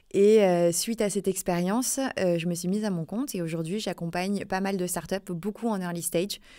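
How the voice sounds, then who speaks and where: Her intonation fairly even, a woman speaks at a moderate pace and a fairly low pitch. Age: 30s. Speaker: recruitment consultant. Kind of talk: podcast interview. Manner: hesitant, many fillers.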